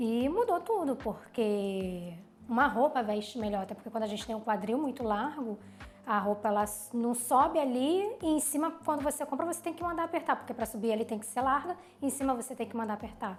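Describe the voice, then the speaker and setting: Over noticeable background noise, a woman speaks in a high pitch. Her intonation is lively. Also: fairly quick pace. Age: 30s. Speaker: plastic surgery patient. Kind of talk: testimony.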